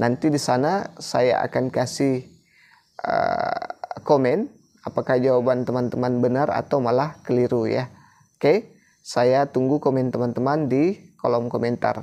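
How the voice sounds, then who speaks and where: A man's medium-pitched voice at a fairly slow pace, with very even loudness and fairly even intonation. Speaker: teacher exam-prep tutor. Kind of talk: tutorial.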